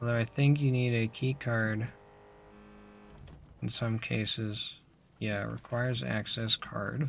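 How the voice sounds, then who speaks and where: The voice is somewhat breathy and moves at a fairly slow pace. Its intonation stays fairly even, broken by long, frequent pauses. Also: man, medium pitch for a man. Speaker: gaming streamer. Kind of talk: casual gameplay commentary.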